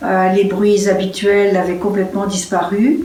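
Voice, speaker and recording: There is audible room echo and noticeable background noise. A woman of medium pitch speaks with fairly even intonation. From France. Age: 70s. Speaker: interviewee. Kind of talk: personal testimony. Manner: hesitant, many fillers.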